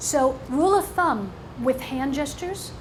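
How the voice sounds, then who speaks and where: A woman's high voice with ordinary pitch variation at a fairly slow pace, amid audible room echo and noticeable background noise. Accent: American. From New York. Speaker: motivational speaker. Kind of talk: seminar talk. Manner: animated.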